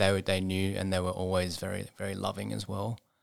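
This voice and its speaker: In a very clean recording with a silent background, a man talks at a very fast pace with an Australian accent. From Sydney, Australia. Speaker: charity rehab centre CEO and ultramarathon runner. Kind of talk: interview. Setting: studio.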